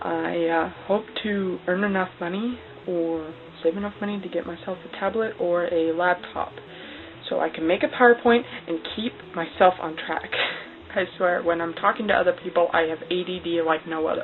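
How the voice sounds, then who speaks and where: The speech moves at a moderate pace with ordinary pitch variation and long, frequent pauses. Noticeable background noise runs under it. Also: woman. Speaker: cosplay vlogger. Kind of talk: casual vlog monologue. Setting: talking to camera alone. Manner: halting, many fillers.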